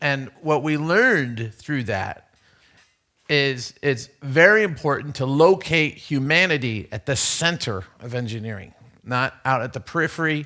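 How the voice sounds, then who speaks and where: The voice is loud, moving at a fairly slow pace with ordinary pitch variation. It sits on a very clean recording with a silent background. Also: man. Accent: American. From USA. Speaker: conference speaker. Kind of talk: conference talk. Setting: stage with audience. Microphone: too loud on new microphone.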